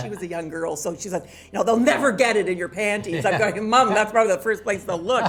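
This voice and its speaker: A woman talks at a very fast pace with hardly any pauses, ordinary pitch variation, and noticeable background noise. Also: medium pitch for a woman. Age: 70s. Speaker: fashion journalist. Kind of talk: interview answer.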